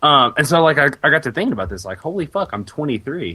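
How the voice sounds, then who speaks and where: An unremarkable speaking voice from a man, fairly quick and with lively intonation. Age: 20s. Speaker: games journalist. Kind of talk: casual chat. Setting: podcast recording.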